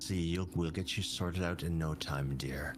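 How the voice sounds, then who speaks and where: A man uses a put-on character voice with a very deep, low pitch at a moderate pace, over loud background noise. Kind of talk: hypnotic. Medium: actual play. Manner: cold, controlled.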